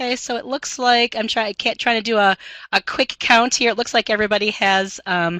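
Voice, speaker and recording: Dry and close with no echo, a woman's fairly high voice has a bright, sharp tone and fairly even intonation. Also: fairly quick pace. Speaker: math instructor. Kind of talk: webinar presentation. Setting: online webinar. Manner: fast; many filler ums.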